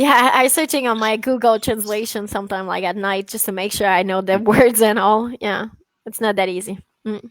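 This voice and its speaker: The recording is very clean, with a silent background, as a woman speaks with a French accent. Her fairly high voice moves at a moderate pace with fairly even intonation. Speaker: dog trainer. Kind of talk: casual chat. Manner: halting.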